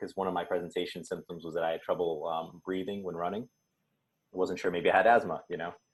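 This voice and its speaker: A man talks at a very fast pace in a very deep, low pitch. The background is quiet. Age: 20s. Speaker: medical student with FSHD. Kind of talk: panel discussion. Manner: casual, hesitant with fillers.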